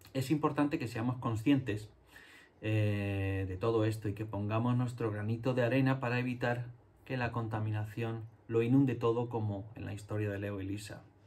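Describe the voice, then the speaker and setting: A somewhat breathy male voice at a moderate pace with fairly even intonation. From Spain, Andalusia (Jerez); Andalusia, Spain. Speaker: illustrator and children's book author. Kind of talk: talk to schoolchildren. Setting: home studio. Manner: halting, many fillers. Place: home room.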